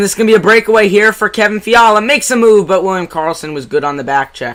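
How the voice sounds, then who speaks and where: A man with a New Jersey accent talks at a very fast pace, his high pitch swinging very widely. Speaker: amateur hockey play-by-play streamer. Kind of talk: live commentary. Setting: live stream. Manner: animated.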